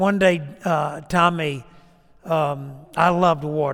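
A man with an unremarkable speaking voice talks at a fairly high pitch for a man, his intonation fairly even. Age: 60s. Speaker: preacher. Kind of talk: sermon with an altar-call invitation. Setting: church.

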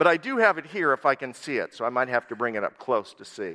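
A man with an American accent talks at a very fast pace, at a medium pitch, with lively intonation. His tone is bright and sharp, and the sound is dry and close with no echo. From US Upper Midwest (southwest Minnesota). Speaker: missionary and guest preacher. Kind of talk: sermon. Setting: church.

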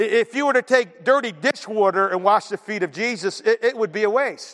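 A man's animated delivery at a moderate pace, with a dry, close sound and no echo. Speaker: pastor. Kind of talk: sermon. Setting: church. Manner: loud.

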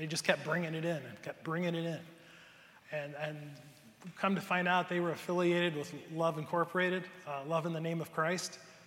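There is audible room echo around a man with an American accent. He speaks at a high pitch and a moderate pace, with monotone, flat intonation. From US Midwest, Cleveland area, Ohio. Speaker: pastor. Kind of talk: sermon. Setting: church.

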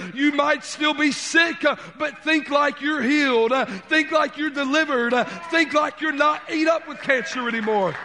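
Amid noticeable background noise, a man uses a raised, projected voice at an extremely high pitch, speaking at a moderate pace with fairly even intonation. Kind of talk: sermon. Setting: church. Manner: stutters, halting.

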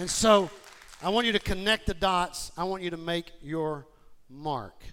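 A high-pitched man at a fairly slow pace with ordinary pitch variation, crowd noise in the background. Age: 50s. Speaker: pastor. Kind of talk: sermon. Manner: animated.

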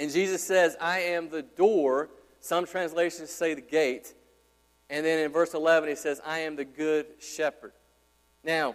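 The speech moves at a fairly slow pace with fairly even intonation. It is an ordinary speaking voice. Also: man, fairly high pitch for a man. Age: 30s. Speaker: pastor. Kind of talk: Sunday-morning expository sermon delivered to a live congregation. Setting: church. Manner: earnest, conversational preaching, building in urgency through repeated exhortations; casual, chatty asides with frequent fillers and stumbling repetitions.

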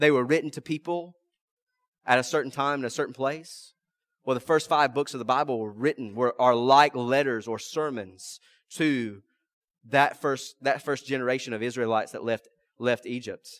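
On a very clean recording with a silent background and a dry, close sound with no echo, a man with a Mississippi accent and a medium pitch speaks at a moderate pace with fairly even intonation. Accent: Southern US (Mississippi). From US South, rural South Mississippi. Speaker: pastor. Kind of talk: sermon. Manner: halting.

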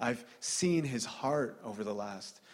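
A man uses a plain, everyday voice with lively intonation. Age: 30s. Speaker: preacher. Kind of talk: sermon.

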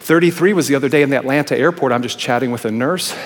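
A man talks at a very fast pace and a fairly high pitch. Noticeable background noise runs behind him. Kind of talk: sermon. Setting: church.

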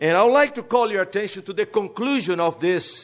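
A man with a Brazilian accent at a moderate pace and ordinary pitch variation, in a very clean recording with a silent background. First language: Portuguese. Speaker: pastor. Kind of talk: sermon. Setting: church.

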